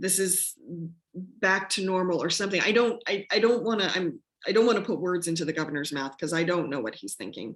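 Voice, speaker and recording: Her pitch medium and her intonation lively, a woman talks at a fairly quick pace. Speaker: community radio host. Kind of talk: casual interview chat. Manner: halting.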